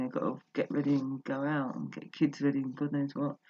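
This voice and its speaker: Soft-spoken delivery at a very fast pace. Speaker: personal vlogger. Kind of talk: casual monologue. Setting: at home, just got up. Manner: halting.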